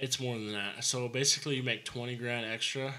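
A man with an American accent, medium pitch, monotone, flat intonation and a fairly quick pace. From Arizona, Prescott Valley; Arizona. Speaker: home builder; podcast guest, contractor. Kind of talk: casual chat. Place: studio. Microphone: studio mic.

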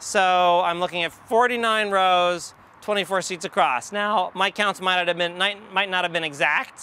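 At a moderate pace, a man speaks at a high pitch in a bright, sharp, yet clear, smooth tone.

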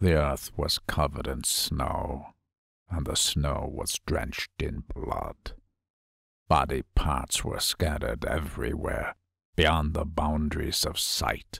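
Raspy and put-on, this is a character voice. It moves at a fairly slow pace. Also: man, very deep, low pitch for a man. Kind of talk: horror narration.

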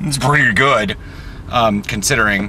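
Over light background noise, a man's voice comes through dry with no echo. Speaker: vlogger driving. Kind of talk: casual vlog chat. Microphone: phone near.

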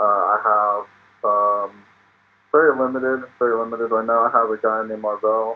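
A man with a medium pitch. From Oklahoma, US. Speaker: rapper and beat maker; podcast guest. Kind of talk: casual interview. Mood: relaxed, cheerful, laughing. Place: home room. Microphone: video call.

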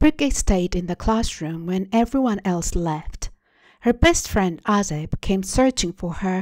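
The passage is read aloud in a natural voice.

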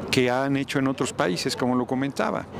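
Over noticeable background noise, a man talks at a fairly quick pace, the sound dry with no echo. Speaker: politician interviewed. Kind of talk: interview answer. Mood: critical, argumentative. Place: street. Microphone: handheld.

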